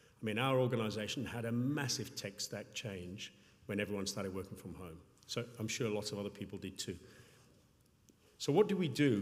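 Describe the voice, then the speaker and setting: Audible room echo surrounds a man's somewhat breathy voice. He talks at a fairly quick pace with lively intonation. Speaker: payments company public sector executive. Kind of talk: conference talk. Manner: fast.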